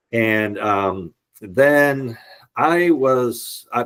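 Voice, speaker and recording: A man with a slight Boston accent and ordinary pitch variation, on a very clean recording with a silent background. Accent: slight Boston area. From US Northeast, Boston area. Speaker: entrepreneur and real estate appraiser. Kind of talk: podcast interview, telling life story.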